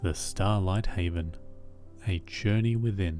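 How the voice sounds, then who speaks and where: Against music in the background, a man with an Australian accent speaks at a very slow pace. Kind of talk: sleep story.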